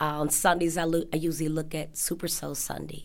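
A woman speaks with a very deep, low pitch. Her voice carries vocal fry. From Chicago. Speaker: dining hall cashier. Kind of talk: interview. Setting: sit-down interview.

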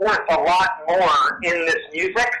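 A man speaks in a raised, projected voice. The room echo is audible and the background noise noticeable. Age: 40s. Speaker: punk band frontman and Satanist. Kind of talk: interview.

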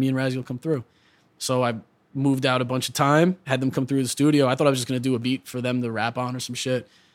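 A man talks at a very fast pace in a medium-pitched voice. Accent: New York. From New York. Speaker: hip hop producer and rapper. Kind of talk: casual interview. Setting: studio.

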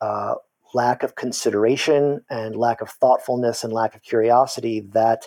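A man's normal speaking voice at medium pitch, moderate pace and ordinary pitch variation, with a dry, close sound and no echo. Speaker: university lecturer and political scientist. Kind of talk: casual interview conversation.

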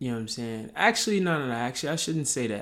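His tone is relaxed, with a medium pitch and ordinary pitch variation. The man is heard on a very clean recording with a silent background. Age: 30s. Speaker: podcast host. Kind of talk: casual chat. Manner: relaxed, filler-heavy.

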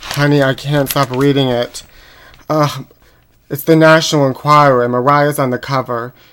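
A man with an American accent speaks at a moderate pace in a fairly high pitch, his intonation flat and monotone. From Pittsburgh, US. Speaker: podcast host. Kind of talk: comedic gossip chat. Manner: campy put-on voice.

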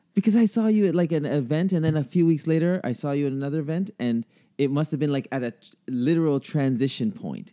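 In a Canadian accent, a man with a dark, mellow tone and fairly high pitch talks at a very fast pace with lively intonation and hardly any pauses. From Canada. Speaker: podcast host. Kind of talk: casual chat.

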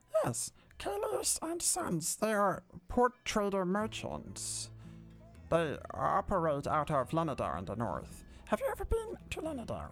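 A put-on character voice at a moderate pace over faint music in the background. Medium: actual play. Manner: eager, chatty, polite, formal.

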